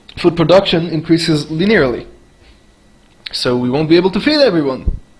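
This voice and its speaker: Speaking at a fairly quick pace with a non-native accent, a man uses a high voice with ordinary pitch variation. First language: not English. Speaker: video commentator. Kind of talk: reaction commentary.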